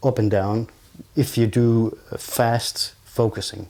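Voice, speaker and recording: A man with a non-native accent speaks at a medium pitch in a dark, mellow tone. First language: not English. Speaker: video gear reviewer. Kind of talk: tutorial. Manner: improvised, halting.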